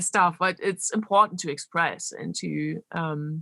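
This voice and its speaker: A woman with a German accent and ordinary pitch variation. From Germany, Berlin. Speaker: electronic musician and DJ. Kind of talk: interview. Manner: animated; halting.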